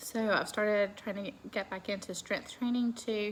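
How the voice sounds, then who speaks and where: With a Southern US accent, a woman speaks in a relaxed tone at a fairly high pitch. Her pace is moderate. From US South. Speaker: lifestyle vlogger. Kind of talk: casual vlog. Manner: chatty, relaxed.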